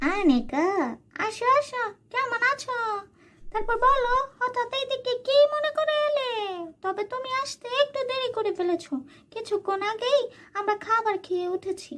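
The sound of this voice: In a cartoonish character voice, a woman speaks at an extremely high pitch with lively intonation. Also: fairly slow pace.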